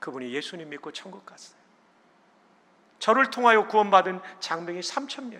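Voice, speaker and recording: A man's raised, projected voice, high in pitch, with very wide pitch swings, big swings in loudness, a fairly quick pace, and long, frequent pauses. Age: 60s. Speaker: pastor and seminary president. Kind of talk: sermon. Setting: church.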